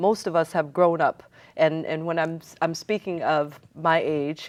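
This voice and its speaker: A woman has an American accent and a fairly low pitch. She speaks at a very slow pace. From Seattle, US Pacific Northwest. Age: 60s. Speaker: community organizer and city council candidate. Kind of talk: TV interview.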